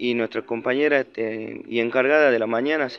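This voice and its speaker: Talking at a fairly quick pace, a man keeps his intonation fairly even. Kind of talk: complaint testimony to camera. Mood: aggrieved, indignant. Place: street. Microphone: phone near.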